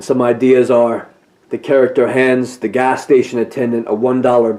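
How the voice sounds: Natural reading is how this voice comes across.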